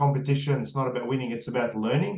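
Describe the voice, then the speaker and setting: Here is a man with an Australian accent. His pitch sits in the medium range. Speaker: podcast host. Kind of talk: interview. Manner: fast; hesitant, many fillers.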